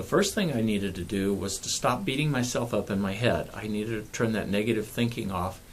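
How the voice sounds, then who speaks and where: Medium pitch from a man, with audible room echo. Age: 60s. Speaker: pain management clinician and author. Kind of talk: personal video talk to camera.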